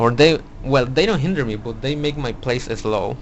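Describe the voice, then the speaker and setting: The speaker has a non-native accent and talks at a moderate pace. Pitch variation is ordinary. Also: man. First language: not English. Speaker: card game YouTuber. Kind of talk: deck profile tutorial. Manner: halting, many fillers and restarts.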